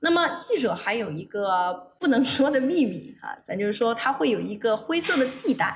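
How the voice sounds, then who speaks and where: Noticeable background noise accompanies a woman as she talks at a moderate pace. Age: 20s. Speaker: former journalist, now college administrator. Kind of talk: casual interview chat.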